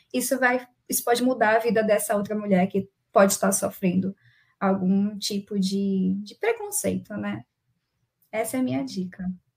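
A woman speaks in a somewhat breathy voice. Her loudness swings widely, and she leaves long, frequent pauses. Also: medium pitch for a woman, ordinary pitch variation, moderate pace. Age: young. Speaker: agile coach and moderator. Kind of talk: casual panel chat.

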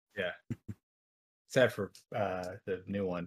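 Fairly low in pitch, a man talks with fairly even intonation in a dry, close sound with no echo. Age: 20s. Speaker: podcast co-host. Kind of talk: casual chat.

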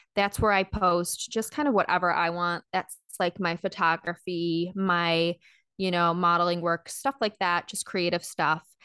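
A woman's bright, sharp voice at a fairly low pitch, fairly slow and with fairly even intonation, dry and close with no echo against a quiet background. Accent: Midwestern American. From Michigan, US Midwest. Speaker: actor, model and health coach. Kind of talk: casual interview chat.

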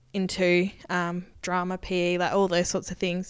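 With an Australian accent, a woman speaks at a moderate pace and medium pitch in a monotone, flat way, recorded very cleanly over a silent background. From Queensland, Australia (rural). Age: 20s. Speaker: podcast co-host, agriculture government worker. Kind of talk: casual chat.

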